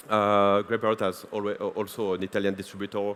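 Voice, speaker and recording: A man with a French accent speaks in a fairly low pitch. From France. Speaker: conference speaker, waste solutions company representative. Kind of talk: conference presentation. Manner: hesitant, many filler sounds.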